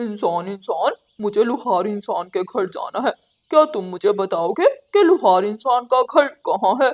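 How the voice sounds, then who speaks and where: A cartoonish character voice at a fairly high pitch and a moderate pace. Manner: loud, repetitive calling.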